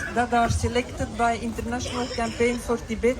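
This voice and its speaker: A woman speaks at a moderate pace with audible room echo and noticeable background noise. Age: 60s. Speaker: charity cyclist. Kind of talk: speech.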